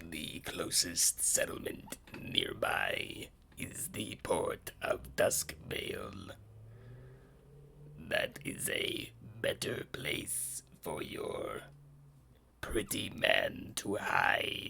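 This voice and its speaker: In a raspy, put-on character voice, a man talks at a very slow pace with long, frequent pauses. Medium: actual play.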